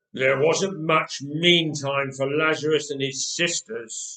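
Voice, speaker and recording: A growling, put-on character voice moves at a fairly slow pace with fairly even intonation. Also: man, fairly high pitch for a man. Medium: read story.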